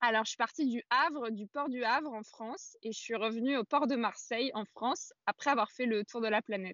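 A woman speaks in a normal speaking voice, fairly high for a woman, with ordinary pitch variation and hardly any pauses. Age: 20s. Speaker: adventurer and feminist author. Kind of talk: casual interview.

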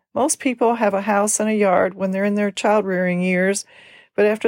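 A woman speaks at a moderate pace in an unremarkable speaking voice, medium in pitch with fairly even intonation. The sound is dry and close with no echo, on a very clean recording with a silent background. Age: 60s. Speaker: podcast host, senior care business owner. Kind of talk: scripted monologue.

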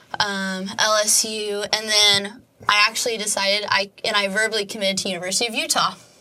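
Over noticeable background noise, a woman with an American accent talks at a fairly quick pace and a medium pitch, her intonation monotone and flat. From Oklahoma (Edmond). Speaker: college soccer goalkeeper. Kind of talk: casual interview.

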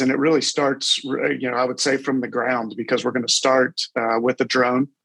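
A man talks at a fairly quick pace in a medium pitch with monotone, flat intonation. The sound is dry and close, with no echo. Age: 50s. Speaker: corporate executive and roofing franchise owner. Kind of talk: casual interview.

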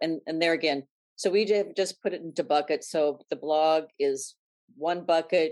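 With an unremarkable speaking voice, a woman talks at a moderate pace and a fairly low pitch. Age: 60s. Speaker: style blogger. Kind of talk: interview.

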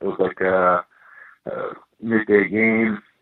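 In an American accent, a man with an ordinary speaking voice talks fairly low in pitch with fairly even intonation. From Boston area, Massachusetts. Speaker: former pro hockey player and scout. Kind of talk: interview.

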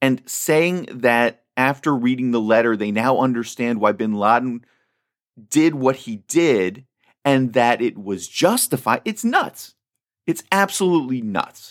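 Over a silent background in a very clean recording, a man with a normal speaking voice talks at a fairly slow pace, his medium pitch carried by lively intonation. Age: 40s. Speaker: podcast host. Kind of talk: political commentary monologue.

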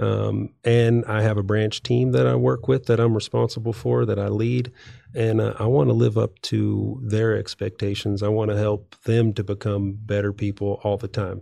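Lively intonation and a dark, mellow tone in a Texan accent, with hardly any pauses. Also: man, fairly low pitch for a man, moderate pace. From West Texas. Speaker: financial adviser. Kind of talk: interview. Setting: studio.

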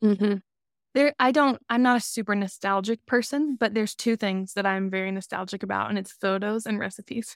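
A woman with an American accent and an unremarkable speaking voice, medium-pitched, with ordinary pitch variation and a fairly quick pace, in a dry, close, echo-free recording that is very clean over a silent background. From Alabama, US South. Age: 30s. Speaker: podcast co-host. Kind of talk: casual interview chat.

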